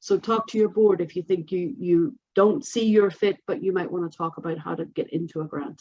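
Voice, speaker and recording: A woman's medium-pitched, dark, mellow voice with hardly any pauses. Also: ordinary pitch variation. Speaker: workforce board representative. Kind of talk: presentation on a video call. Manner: fast.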